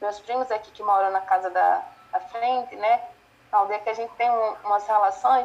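A woman's fairly high pitch, with ordinary pitch variation and a moderate pace. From Brazil, Pernambuco (northeast). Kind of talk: interview. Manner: halting, many fillers.

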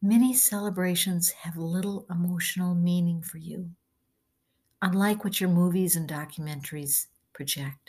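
At a moderate pace, the speaker sounds somewhat breathy, with ordinary pitch variation. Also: woman. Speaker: channeler reading her blog. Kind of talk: reading aloud.

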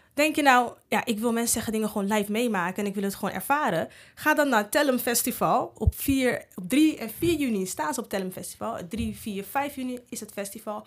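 Against a silent background on a very clean recording, a woman with an unremarkable speaking voice talks fairly quickly at a fairly high pitch with lively intonation. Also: hardly any pauses. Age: 30s. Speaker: podcast host. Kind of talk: casual interview chat; promotional outro.

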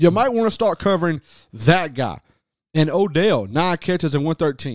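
A man talks at a moderate pace and fairly high pitch, his tone animated and intonation lively. The recording is very clean, with a silent background. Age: 30s. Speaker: sports radio co-host. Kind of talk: casual sports talk. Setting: radio studio.

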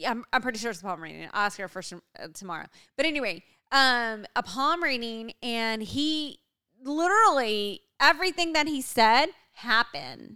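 With a bright, sharp tone, the voice makes very wide pitch swings and big swings in loudness on a very clean recording with a silent background. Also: woman, fairly high pitch for a woman, moderate pace. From US, Mexican-American heritage. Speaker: podcast co-host. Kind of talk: casual chat. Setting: home recording.

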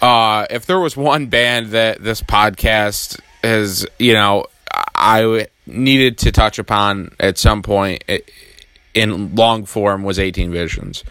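Speaking at a slow pace, a man has a clear, smooth, fairly bright tone, a fairly low pitch and ordinary pitch variation.

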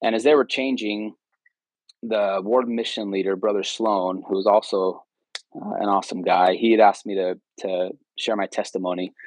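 A man with a West Coast accent, fairly low pitch, and fairly even intonation. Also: moderate pace, dry, close sound with no echo. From California, Bay Area. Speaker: former missionary. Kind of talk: casual interview. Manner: hesitant, many fillers.

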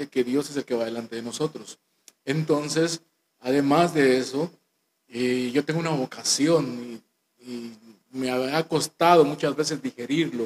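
In an ordinary speaking voice, a man with fairly high pitch and ordinary pitch variation talks at a fairly slow pace, the sound dry and close with no echo. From Guatemala, Guatemala City. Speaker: church minister. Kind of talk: testimony.

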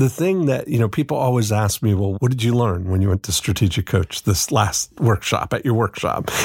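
A man's somewhat breathy, medium-pitched voice at a fairly quick pace, with lively intonation, very even loudness and a dry, close sound with no echo. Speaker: podcast co-host. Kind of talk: casual chat.

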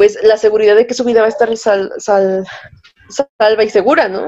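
A woman is talking. Her voice has a dark, mellow tone. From Mexico, Tlaxcala. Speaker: law student, podcast co-host. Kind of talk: casual group discussion.

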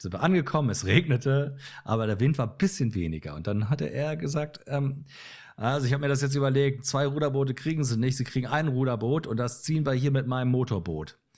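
His voice has a somewhat breathy quality. The man speaks at a fairly quick pace. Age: 50s. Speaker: photographer and musician. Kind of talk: casual chat.

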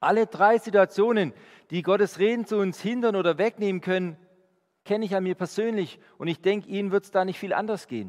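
Speaking at a fairly quick pace, a man uses a high pitch with fairly even intonation. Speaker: preacher. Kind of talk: sermon. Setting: church. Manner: earnest, warm, conversational; direct, urging the congregation.

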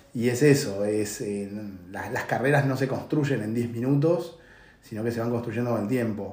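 A man at a medium pitch and moderate pace, with ordinary pitch variation and audible room echo. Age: 40s. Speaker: tech consulting CEO. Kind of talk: interview. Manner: halting.

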